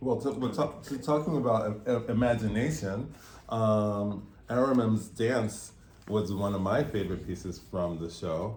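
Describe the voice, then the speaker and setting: With a normal speaking voice, a man talks at a fairly slow pace, his pitch fairly low and its variation ordinary. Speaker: interviewer. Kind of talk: interview questions.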